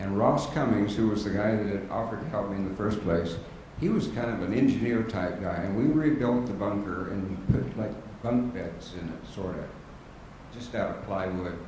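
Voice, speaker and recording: At a moderate pace, a man with a fairly low pitch and ordinary pitch movement speaks amid noticeable background noise and audible room echo. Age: 70s. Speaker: war veteran, former navy corpsman. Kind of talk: panel testimony to an audience. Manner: halting.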